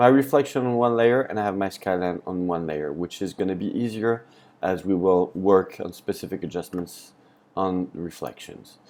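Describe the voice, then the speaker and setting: This man's voice sits very deep and low, moving at a moderate pace with ordinary pitch variation. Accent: French. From France. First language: French. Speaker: photography tutor. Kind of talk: tutorial. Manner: hesitant, many fillers.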